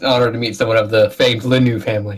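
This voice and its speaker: A man in a put-on character voice talks at a very fast pace and medium pitch, with monotone, flat intonation and big swings in loudness. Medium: actual play. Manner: respectful.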